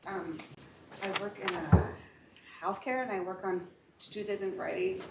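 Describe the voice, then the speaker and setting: A woman at a moderate pace and medium pitch, with audible room echo and noticeable background noise. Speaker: prospective juror, healthcare worker. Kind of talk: courtroom testimony. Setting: courtroom. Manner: halting, repetitive.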